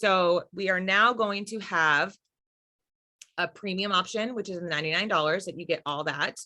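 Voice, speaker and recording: Against a quiet background, a woman speaks at a fairly slow pace. Her tone is bright and sharp. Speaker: network marketing team leader. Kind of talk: live stream team call. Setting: live stream.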